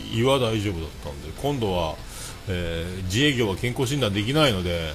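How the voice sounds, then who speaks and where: A man talks at a fairly quick pace with very wide pitch swings. Noticeable background noise is present. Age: 40s. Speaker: livestreamer and podcaster. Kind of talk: solo livestream chat. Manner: casual, filler-heavy.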